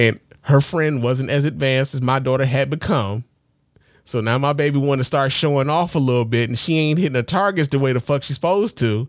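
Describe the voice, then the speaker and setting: At a fairly quick pace, a man speaks with very even loudness, a fairly high pitch and ordinary pitch variation. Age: 40s. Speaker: podcast host. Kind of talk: casual chat. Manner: halting.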